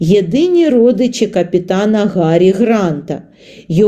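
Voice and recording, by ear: Someone is reading aloud in a natural voice. The reading is heard on its own.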